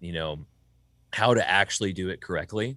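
A bright, sharp tone with an American accent. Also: man, quiet background. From US South. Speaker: sound engineer and studio owner. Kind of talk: casual interview.

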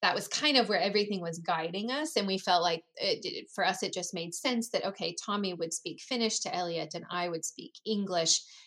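In a plain, everyday voice, the speaker moves at a fairly quick pace with hardly any pauses and ordinary pitch variation. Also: woman, medium pitch for a woman. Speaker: guest, mother living abroad. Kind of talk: casual interview chat.

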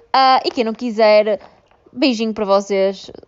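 Her pitch fairly high with ordinary variation, a woman speaks in a European Portuguese accent. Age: 20s. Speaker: podcast host, law graduate. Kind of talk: casual monologue. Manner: hesitant, many fillers.

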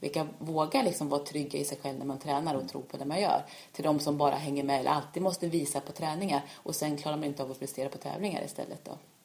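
A woman's very deep, low voice at a very fast pace, with hardly any pauses, fairly even intonation and noticeable background noise. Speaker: orienteering coach and former world champion. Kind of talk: casual interview. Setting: at home. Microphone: far from the mic, too quiet.

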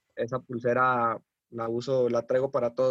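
A man talks in a plain, everyday voice at medium pitch. The sound is dry and close, with no echo. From Mexico, Coahuila. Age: 20s. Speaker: professional footballer. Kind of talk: interview.

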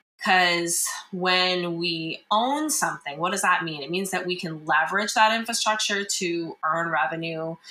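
A woman with an American accent speaks at a fairly low pitch with ordinary pitch variation in a normal speaking voice. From rural US. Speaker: tech startup founder. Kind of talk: interview.

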